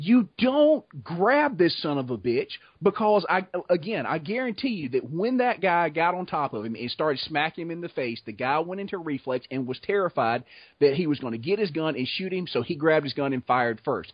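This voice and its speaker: A man with an American accent, fairly high pitch, very wide pitch swings and a fairly quick pace. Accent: Southern US, heavy (relaxed for videos). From US South (Georgia/Florida swamp area). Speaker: blacksmith and video creator. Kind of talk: casual chat. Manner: animated.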